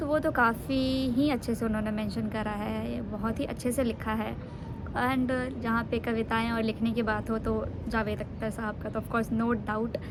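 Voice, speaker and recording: A woman speaks in a relaxed tone at a fairly high pitch with ordinary pitch variation, and audible room echo surrounds her. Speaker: vlogger. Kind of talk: casual vlog talk. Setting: outdoors on rooftop in sun. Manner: relaxed, Hindi-English mix with fillers.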